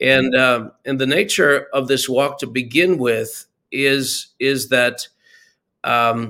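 Here is a man with a plain, everyday voice at a medium pitch. His intonation is fairly even, on a very clean recording with a silent background. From Canada. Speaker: ministry leader, author. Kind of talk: interview, preaching-style teaching.

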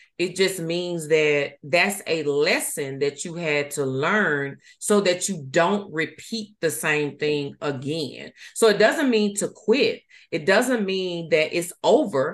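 The speech is very slow, with lively intonation. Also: woman, fairly low pitch for a woman. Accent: Southern US. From US South, Mississippi. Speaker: life coach. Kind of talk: casual chat.

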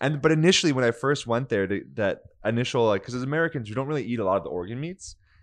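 Against a quiet background, a man with a medium pitch speaks very fast with lively intonation. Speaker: podcast host. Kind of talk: casual chat.

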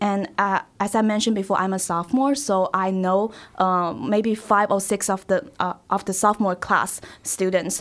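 At a moderate pace and very even loudness, a woman with a Chinese accent and a medium pitch speaks on a very clean recording with a silent background. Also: ordinary pitch variation. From China, Shanghai. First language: Mandarin Chinese. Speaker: college student. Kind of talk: casual interview. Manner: halting.

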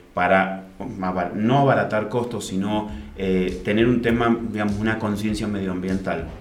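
A man speaks at a fairly slow pace with a fairly low pitch and fairly even intonation. Music plays in the background, and audible room echo surrounds the voice. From Argentina, Mendoza. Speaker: winemaker. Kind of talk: interview. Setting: studio.

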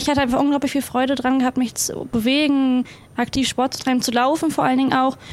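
A woman speaks at a very fast pace in a high pitch with monotone, flat intonation, and noticeable background noise behind her. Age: 20s. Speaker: para athlete. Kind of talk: casual chat.

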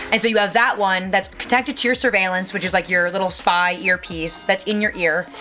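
A woman talking fairly quickly with hardly any pauses and ordinary pitch variation, over noticeable background noise. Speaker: production assistant, film/TV set. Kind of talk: casual interview chat. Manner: fast talker, loud.

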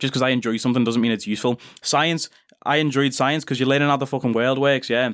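A man with a British accent at a very fast pace, medium in pitch, with very even loudness. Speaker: podcast host. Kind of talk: casual monologue. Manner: animated.

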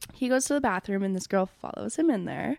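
A woman talks at a moderate pace in an ordinary speaking voice, medium in pitch with lively intonation. The recording is very clean, with a silent background. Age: 20s. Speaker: podcast co-host and daycare worker. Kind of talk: casual chat.

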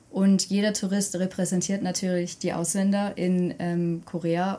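The voice has a dark, mellow tone, is somewhat breathy, and stays monotone with flat intonation. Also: woman. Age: 20s. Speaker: university student of Korean studies. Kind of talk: podcast interview.

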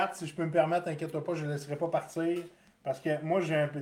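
Monotone, flat male speech in a Quebec accent, fairly high in pitch and fairly quick. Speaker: podcast host. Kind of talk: casual chat.

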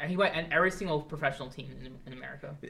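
Male speech with vocal fry and ordinary pitch variation. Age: 20s. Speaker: podcast host. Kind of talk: casual chat. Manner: halting.

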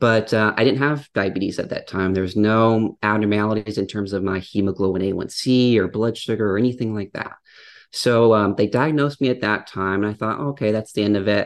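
A man with an American accent has an ordinary speaking voice, fairly low in pitch and fairly even in intonation. He talks at a fairly quick pace against a quiet background. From US Midwest, Upper Peninsula of Michigan. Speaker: dietitian. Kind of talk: casual interview chat.

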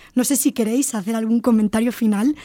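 The voice comes with a Spanish accent and a dark, mellow tone. The sound is dry and close, with no echo. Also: woman. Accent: Spanish (Spain). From Spain. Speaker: university lecturer and podcast host. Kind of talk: podcast discussion with students.

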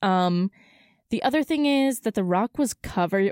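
Heard in a very clean recording with a silent background, a woman with an ordinary speaking voice talks at a fairly high pitch with lively intonation. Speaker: student podcast co-host. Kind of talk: casual chat. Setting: studio. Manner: giggly, casual.

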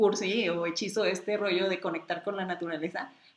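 Noticeable background noise accompanies speech delivered in an animated tone. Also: woman. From Mexicali, Baja California, Mexico. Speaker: travel blogger and photographer. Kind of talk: casual chat.

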